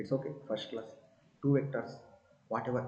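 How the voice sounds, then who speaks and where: A quiet, dark and mellow male voice, somewhat breathy, with audible room echo. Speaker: physics teacher. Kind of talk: lecture. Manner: slow.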